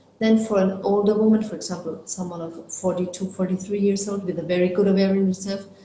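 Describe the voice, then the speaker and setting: At a fairly quick pace, a woman with a medium pitch and fairly even intonation speaks in a room with audible echo. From Germany. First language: German. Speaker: fertility doctor. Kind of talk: interview. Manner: halting, with fillers.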